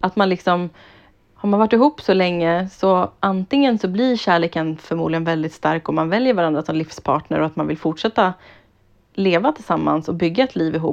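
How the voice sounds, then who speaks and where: A woman's fairly low voice at a fairly quick pace, lively intonation, an ordinary speaking voice, quiet background. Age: 30s. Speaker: podcast co-host. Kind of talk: casual chat.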